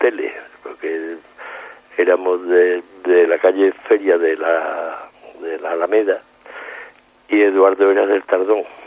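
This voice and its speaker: With noticeable background noise behind him, a man speaks at a very slow pace in a very deep, low pitch with monotone, flat intonation. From Seville, Andalusia. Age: 70s. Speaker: painter and album cover artist. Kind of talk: casual interview. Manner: halting, repeats words.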